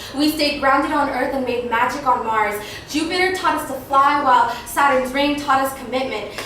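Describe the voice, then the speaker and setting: Delivered at a moderate pace with ordinary pitch variation, the voice sits over noticeable background noise. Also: woman. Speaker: spoken word poet. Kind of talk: spoken word poetry performance. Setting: live open mic.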